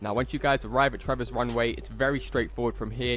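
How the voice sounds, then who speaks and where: Music is audible in the background. Over it, a man speaks at a fairly quick pace. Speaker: gaming YouTuber. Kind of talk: gameplay tutorial.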